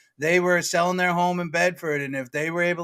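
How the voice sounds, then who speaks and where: In a Boston accent, a man speaks at a fairly quick pace with a bright, sharp tone on a very clean recording with a silent background. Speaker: real estate agent. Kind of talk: casual chat. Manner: fast.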